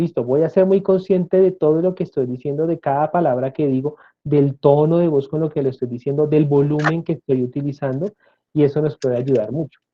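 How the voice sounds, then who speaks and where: This man has a plain, everyday voice, fairly high in pitch. He talks fairly quickly with fairly even intonation. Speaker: speech therapist and lecturer. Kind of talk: interview.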